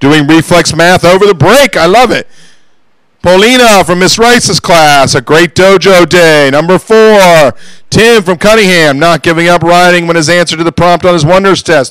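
A high-pitched man at a moderate pace, ordinary pitch variation, dry sound with no echo, and a quiet background. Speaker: school staff member. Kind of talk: school announcements. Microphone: handheld.

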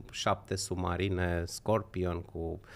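The voice belongs to a man with a very deep, low pitch. He talks at a fairly slow pace. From Romania, Horezu (Vâlcea); Romania. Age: 50s. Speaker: political commentator. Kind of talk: casual chat. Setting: livestream. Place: studio. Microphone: studio mic.

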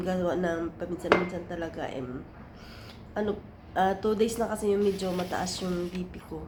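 Ordinary pitch variation and a moderate pace come through amid audible room echo and noticeable background noise. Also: woman. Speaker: vlogger, domestic helper or caregiver. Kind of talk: casual vlog.

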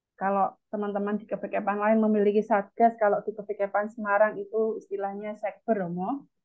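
A woman talks at a fairly quick pace with hardly any pauses, her intonation flat and monotone, over a quiet background. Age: 30s. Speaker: event moderator. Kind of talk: formal moderation. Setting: video call. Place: home room. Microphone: webcam.

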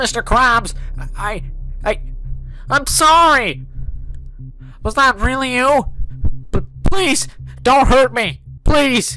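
The speech moves at a very slow pace with long, frequent pauses. Clear background noise runs underneath. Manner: angry, cursing.

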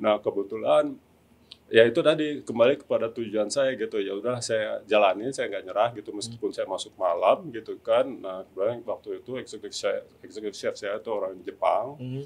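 A man talks at a fairly quick pace, his loudness swinging widely. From Indonesia, Tangerang (Banten). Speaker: executive chef. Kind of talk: interview. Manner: halting, many fillers. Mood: relaxed, friendly. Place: studio. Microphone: studio mic.

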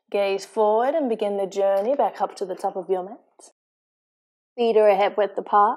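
On a very clean recording with a silent background, an unremarkable speaking voice moves at a moderate pace with fairly even intonation. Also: woman, medium pitch for a woman. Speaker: yoga fitness instructor. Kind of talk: guided yoga class instruction.

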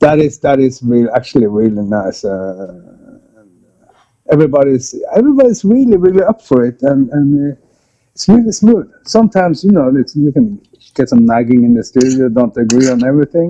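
The man has a medium pitch and a dark, mellow tone. He speaks at a moderate pace with lively intonation.

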